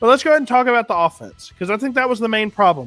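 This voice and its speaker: Lively intonation from a man, with music in the background. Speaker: fantasy football show host. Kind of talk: sports talk show. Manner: animated.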